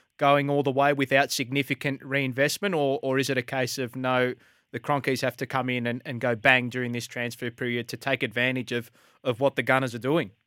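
A man with an Australian accent speaks at a fairly quick pace in a bright, sharp tone with monotone, flat intonation, recorded very cleanly against a silent background with a dry, close sound and no echo. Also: medium pitch for a man. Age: 20s. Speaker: sports radio host. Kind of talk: casual chat. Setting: studio.

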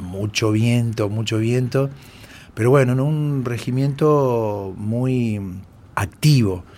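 Very slowly, a man speaks at a medium pitch in a dark, mellow tone with ordinary pitch variation. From Argentina, Córdoba province. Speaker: war veteran. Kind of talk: interview testimony.

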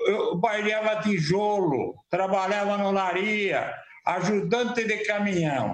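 Over noticeable background noise and audible room echo, a man with a high pitch talks at a very slow pace with fairly even intonation. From Sorocaba, São Paulo state, Brazil. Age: 70s. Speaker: former city councillor. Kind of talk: interview. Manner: halting, repeats words.

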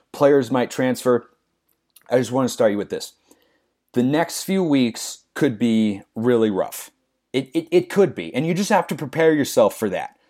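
The recording is very clean, with a silent background. A man with an unremarkable speaking voice and an American accent talks at a medium pitch with lively intonation. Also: moderate pace. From Oregon, US Pacific Northwest. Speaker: sports broadcaster. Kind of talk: solo sports podcast commentary.

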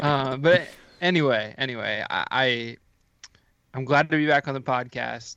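A man's bright, sharp, medium-pitched voice in an American accent, with long, frequent pauses. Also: moderate pace. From US Midwest, Ohio. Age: 20s. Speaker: football podcaster. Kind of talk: casual chat. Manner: animated.

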